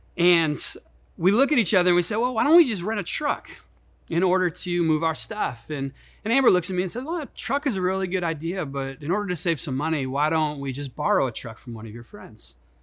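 Very fast, a high-pitched man speaks with very wide pitch swings. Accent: Midwestern US. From Chicago, US Midwest. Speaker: pastor. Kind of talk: sermon. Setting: online church service.

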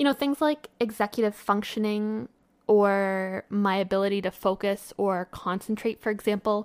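A woman's plain, everyday voice at medium pitch and moderate pace, ordinary pitch variation, dry, close sound with no echo, very clean recording, silent background. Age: 20s. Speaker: podcast host. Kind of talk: solo podcast monologue. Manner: casual.

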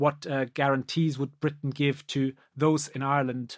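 A man with a German accent and a fairly high pitch is heard on a very clean recording, silent background, with a dry, close sound and no echo. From Germany. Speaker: law professor. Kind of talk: academic discussion. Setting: podcast recording. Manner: halting, many repetitions.

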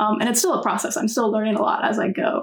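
Over noticeable background noise, a woman with an American accent speaks in a fairly high pitch. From US South, North Carolina. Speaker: student election candidate. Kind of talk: interview.

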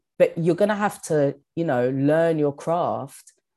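A woman with a strong London accent speaks in a very deep, low pitch with a dark, mellow tone. Her intonation is lively, and the recording is very clean over a silent background. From London, England. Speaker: stand-up comedian and actor. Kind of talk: casual interview chat.

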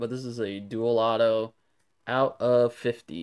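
A man with an American accent and fairly even intonation, on a very clean recording with a silent background. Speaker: sports card dealer. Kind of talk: recorded show-and-tell video.

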